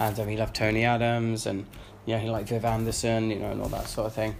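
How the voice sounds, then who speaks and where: In a London accent, a man talks at a very fast pace in a fairly low pitch with monotone, flat intonation. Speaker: football podcaster. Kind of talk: casual monologue.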